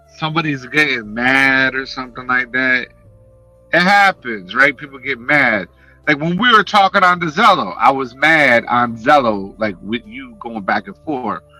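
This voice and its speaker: A man's animated, passionate New York accent at medium pitch and moderate pace, with lively intonation, big swings in loudness and music in the background. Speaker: YouTuber and livestreamer. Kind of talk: casual livestream chat.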